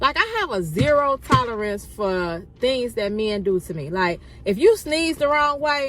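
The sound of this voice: Here a woman talks with a fairly high pitch and a fairly bright tone. Her pitch moves in big swings. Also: fairly slow pace.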